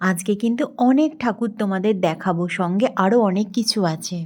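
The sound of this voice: A woman's medium-pitched, slightly mellow voice at a fairly quick pace, with ordinary pitch variation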